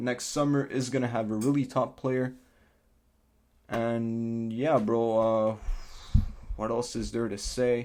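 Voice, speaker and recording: On a very clean recording with a silent background, a man with a medium-pitched voice and a non-native accent speaks in a monotone, flat intonation. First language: not English. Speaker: football fan youtuber. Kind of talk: casual match review vlog.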